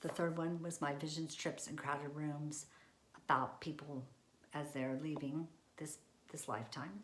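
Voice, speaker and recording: With audible room echo, a woman with a very deep, low pitch speaks with fairly even intonation and long, frequent pauses. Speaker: senior living industry professional. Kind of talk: presentation. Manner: fast.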